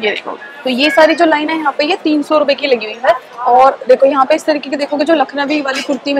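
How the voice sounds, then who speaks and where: A woman's high voice at a fairly quick pace, with ordinary pitch variation, a dry sound with no echo and faint music in the background. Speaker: shopping vlogger. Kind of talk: casual vlog chat. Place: market. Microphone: phone near.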